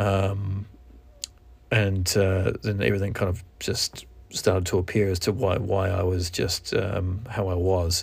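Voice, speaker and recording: Fairly slow and somewhat breathy, a man speaks with a very deep, low pitch and monotone, flat intonation. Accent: New Zealand. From New Zealand. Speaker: podcast host. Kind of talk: solo podcast monologue, casual. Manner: halting, with fillers.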